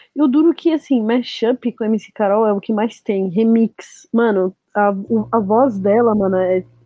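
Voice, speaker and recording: A normal speaking voice is heard here, its pitch variation ordinary. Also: woman. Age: 20s. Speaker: DJ and music producer. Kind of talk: casual chat.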